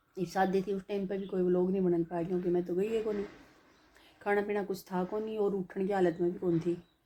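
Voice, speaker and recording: A woman speaks in a flat monotone with a dark, mellow tone. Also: medium pitch for a woman. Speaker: family vlogger. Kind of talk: casual chat. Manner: relaxed, conversational.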